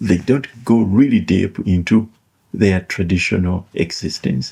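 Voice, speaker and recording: Somewhat breathy and dark, mellow in tone, a man's voice moves at a fairly slow pace with ordinary pitch variation. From Uganda (Buganda). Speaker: author and educational commentator. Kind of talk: reflective monologue. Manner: halting, with fillers and repetitions.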